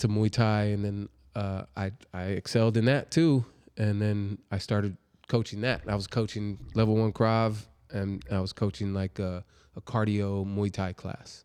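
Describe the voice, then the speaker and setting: A man's plain, everyday voice, fairly low in pitch, with fairly even intonation and a moderate pace, on a very clean recording with a silent background. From California (born in New Jersey). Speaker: martial arts instructor and educator. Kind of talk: casual interview.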